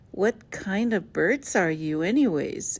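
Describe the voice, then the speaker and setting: Using a put-on character voice, a woman speaks at a medium pitch and a fairly slow pace, her pitch swinging very widely. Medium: read story. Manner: blunt, uneasy.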